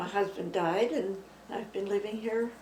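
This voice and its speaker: Against noticeable background noise and audible room echo, a woman with a Canadian accent speaks at a medium pitch and a moderate pace. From Saskatchewan, Canada. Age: 80s+. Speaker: retired senior, interviewee. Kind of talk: oral history interview. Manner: halting, with fillers.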